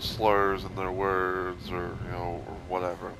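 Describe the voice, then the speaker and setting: Monotone and flat, a man with a very deep, low pitch speaks over noticeable background noise. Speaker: gaming youtuber. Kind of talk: casual rant. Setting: recording from a game console. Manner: slurred speech; rambling, filler-heavy.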